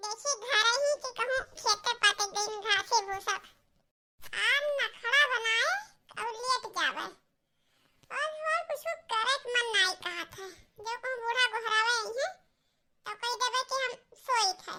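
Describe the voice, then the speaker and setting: A cartoonish character voice, female-sounding and squeaky, with an extremely high pitch. The pace is fairly slow, broken by long, frequent pauses. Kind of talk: comic cartoon voice acting. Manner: chatty, complaining.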